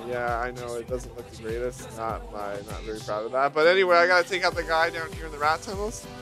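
Music plays behind a man talking at a very fast pace. His tone is playful and his intonation lively. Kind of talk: gameplay commentary. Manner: casual, playful.

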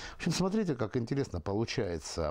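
The man's voice has a dark, mellow tone. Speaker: talk show host. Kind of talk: interview. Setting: tea house. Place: cafe.

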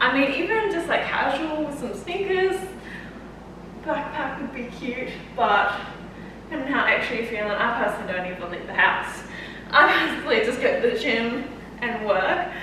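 A woman's high, raised, projected voice with very wide pitch swings and long, frequent pauses, amid strong room echo and noticeable background noise. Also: moderate pace. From Australia. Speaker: fitness coach and YouTuber. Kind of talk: try-on haul vlog. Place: home room. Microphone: camera far.

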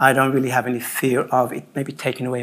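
Medium pitch from a man talking at a fairly quick pace. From Birmingham, England. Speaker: artist and photographer; panelist. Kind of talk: panel discussion. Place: hall.

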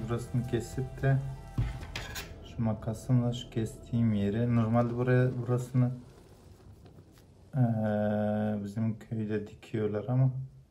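Over music in the background, a man talks at a fairly slow pace with monotone, flat intonation. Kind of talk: tutorial. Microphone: phone near.

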